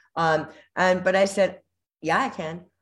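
With an American accent, a woman speaks at a moderate pace in an unremarkable speaking voice of medium pitch, on a very clean recording with a silent background. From US, Southern California (Whittier). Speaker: former showgirl dancer. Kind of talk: casual interview chat.

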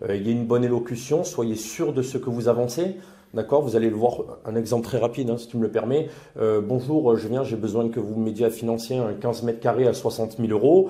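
At a fairly quick pace, a man with an ordinary speaking voice talks at a medium pitch with ordinary pitch variation. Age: 30s. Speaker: property investor and temp worker. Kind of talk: interview testimony.

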